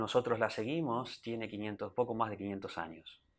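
Against a quiet background, a man speaks at a medium pitch in an unremarkable speaking voice. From Argentina, Buenos Aires. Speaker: temple president, religious devotee; interview guest. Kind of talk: TV interview. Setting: TV studio. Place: studio. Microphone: lapel.

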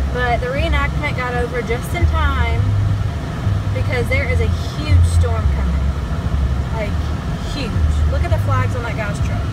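Long, frequent pauses break up the speech over loud background noise, and the sound is dry with no echo. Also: woman. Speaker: vlogger. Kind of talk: casual vlog chat. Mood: relaxed, chatty.

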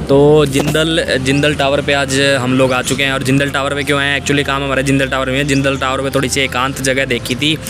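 Over noticeable background noise, a man speaks at a moderate pace with a monotone, flat intonation, in a dry recording with no echo. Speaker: vlogger. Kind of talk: casual vlog chat. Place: street. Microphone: phone near.

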